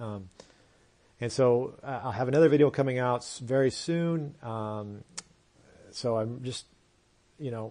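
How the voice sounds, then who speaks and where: With a dark, mellow tone, a man speaks fairly slowly, with long, frequent pauses. His medium pitch shows ordinary variation. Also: big swings in loudness. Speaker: podcast host and crypto consultant. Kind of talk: solo podcast explainer. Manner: casual with many fillers.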